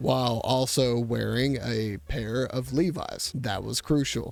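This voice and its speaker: A man speaks at a very slow pace with music in the background. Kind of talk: casual comedic commentary to camera. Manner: irreverent, joking.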